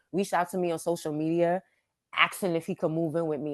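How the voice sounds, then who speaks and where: A woman with a New York accent speaks at a fairly quick pace. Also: quiet background. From Brooklyn, New York. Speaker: author. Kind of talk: interview answer.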